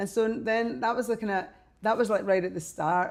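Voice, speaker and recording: A woman with a Scottish accent speaks at a moderate pace in a dark, mellow tone with ordinary pitch variation, against a quiet background. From Scotland, Glasgow. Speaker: fashion designer and artist. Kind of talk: interview. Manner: animated.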